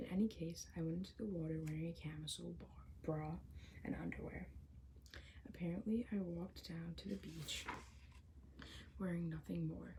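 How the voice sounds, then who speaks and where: The soft-spoken voice moves at a moderate pace, broken by long, frequent pauses. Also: woman. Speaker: ASMR creator reading a novel aloud. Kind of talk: audiobook-style ASMR reading. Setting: home recording with possible background construction noise.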